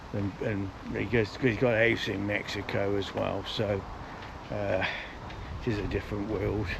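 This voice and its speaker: A man at a moderate pace with monotone, flat intonation, amid noticeable background noise and audible room echo. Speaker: walking vlogger. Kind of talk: casual vlog narration. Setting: outdoors.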